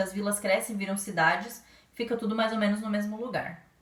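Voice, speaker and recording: Noticeable background noise sits behind a woman speaking. Her pitch is medium and her pace fairly quick. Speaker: primary school teacher. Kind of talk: lesson for children. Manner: fast.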